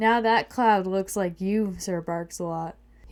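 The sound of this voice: Someone reads in an unforced voice.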